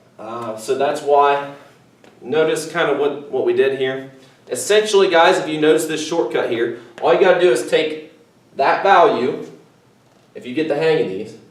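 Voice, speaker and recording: A man with a fairly high pitch and ordinary pitch variation speaks at a moderate pace with long, frequent pauses and big swings in loudness. Noticeable background noise and audible room echo come through. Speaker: math teacher. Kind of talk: recorded video lesson. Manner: casual, conversational.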